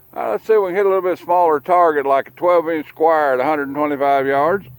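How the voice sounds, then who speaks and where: Speaking very fast with a Southern US accent, a man uses a fairly high pitch and ordinary pitch variation in a dry, close sound with no echo. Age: 60s. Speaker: gun channel host. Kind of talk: casual shooting commentary. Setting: outdoors at a gun range. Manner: casual, relaxed.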